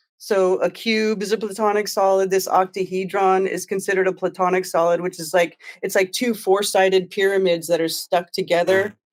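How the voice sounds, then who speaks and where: The speaker talks at a fairly quick pace with an American accent and hardly any pauses. The intonation stays monotone and flat. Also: woman, medium pitch for a woman. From California. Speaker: crystal enthusiast and flat earth streamer. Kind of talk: casual interview. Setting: video call. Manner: fast. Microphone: sounds good.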